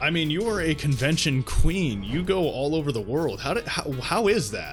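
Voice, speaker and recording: A man's fairly high voice at a moderate pace, with very wide pitch swings and music in the background. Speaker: anime YouTuber, interviewer. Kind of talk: casual interview host talk.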